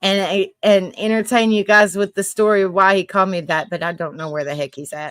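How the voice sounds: Speaking in a Southern US accent at a fairly quick pace, a woman keeps a medium pitch with ordinary pitch variation and hardly any pauses.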